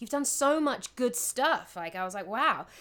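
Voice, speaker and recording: On a very clean recording with a silent background, a woman with a London accent talks at a fairly quick pace with lively intonation. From London, England (Southall). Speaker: actress and voiceover artist. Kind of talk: casual interview chat.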